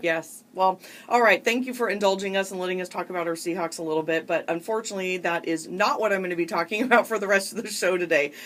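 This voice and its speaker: Over noticeable background noise, a woman with an American accent speaks very fast at a medium pitch, with ordinary pitch variation and hardly any pauses. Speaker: radio show host, psychotherapist. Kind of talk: talk radio hosting.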